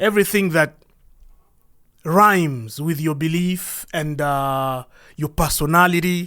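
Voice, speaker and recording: This man speaks very slowly in a fairly high voice with a bright, sharp tone and ordinary pitch variation, recorded very cleanly against a silent background. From DR Congo. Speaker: podcast host. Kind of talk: monologue podcast address.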